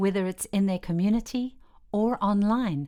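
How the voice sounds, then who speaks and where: A woman with a plain, everyday voice speaks at a moderate pace with ordinary pitch variation, in a very clean recording with a silent background. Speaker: voice-over narrator. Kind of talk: educational course narration.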